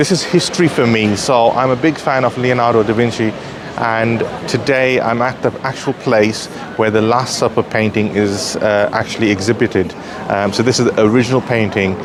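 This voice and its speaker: With audible room echo and noticeable background noise, a man of medium pitch speaks at a fairly quick pace, his loudness very even and his intonation fairly even. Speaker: travel vlogger. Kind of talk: vlog. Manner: hesitant, many fillers.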